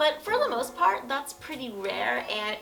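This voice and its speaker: Noticeable background noise can be heard. Through it comes a woman's high-pitched voice. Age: young. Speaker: lifestyle YouTuber, social media influencer. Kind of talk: casual talk to camera.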